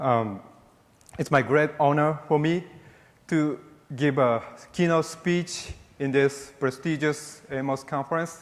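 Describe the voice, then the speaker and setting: With a Japanese accent, a man with a fairly high voice speaks at a very slow pace in fairly even intonation, leaving long, frequent pauses. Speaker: military officer and space policy official. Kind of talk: keynote speech. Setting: conference stage with audience. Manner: halting.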